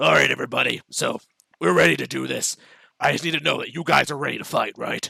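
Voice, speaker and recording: A man's raspy, put-on character voice at a very fast pace, dry and close with no echo. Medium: actual play. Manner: barking, commanding.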